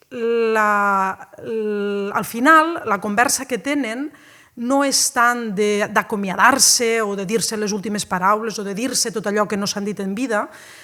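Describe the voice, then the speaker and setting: A woman speaks very slowly in a fairly high pitch with ordinary pitch variation. Noticeable background noise runs underneath. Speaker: university lecturer. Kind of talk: public lecture on an ancient poem.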